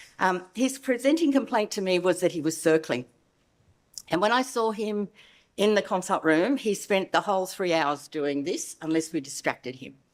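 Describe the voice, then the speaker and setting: Over a silent background in a very clean recording, a woman with a medium pitch speaks at a moderate pace. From Australia. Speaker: veterinary behavioural specialist. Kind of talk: conference lecture.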